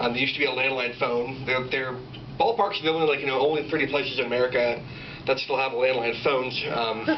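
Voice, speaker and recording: A man speaks at a very fast pace and medium pitch, his loudness very even. Audible room echo and noticeable background noise fill the recording. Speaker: stand-up comedian. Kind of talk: stand-up. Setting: stage with audience.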